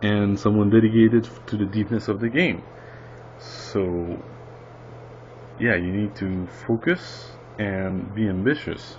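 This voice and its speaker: With a non-native accent, a man speaks at a fairly low pitch and fairly slow pace, his intonation lively and broken by long, frequent pauses. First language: not English. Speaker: indie game developer. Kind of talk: casual tutorial monologue. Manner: halting, many fillers.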